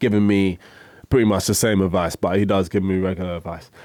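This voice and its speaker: Very deep and low, a man's voice holds a monotone, flat intonation in a London accent. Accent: London, multicultural London English. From South East London, Woolwich. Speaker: rapper. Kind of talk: casual interview. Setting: radio studio.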